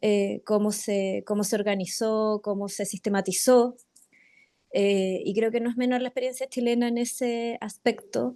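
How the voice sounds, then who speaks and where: Against a quiet background, a woman speaks with a dark, mellow tone, a fairly high pitch and fairly even intonation. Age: 40s. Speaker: participant in community meeting. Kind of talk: meeting discussion. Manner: halting, many fillers.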